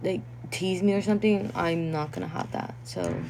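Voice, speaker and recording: Over noticeable background noise, a woman with a non-native accent and a fairly low pitch speaks at a moderate pace, her pitch swinging very widely. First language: not English. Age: 20s. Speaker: content creator. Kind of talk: livestream chat reading comments. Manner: casual, filler-heavy.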